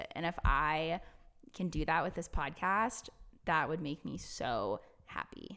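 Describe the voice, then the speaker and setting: A loud woman's voice, fairly low in pitch, with a bright, sharp tone, vocal fry and lively intonation. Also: fairly slow pace. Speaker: podcast co-host, fitness coach. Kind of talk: casual chat.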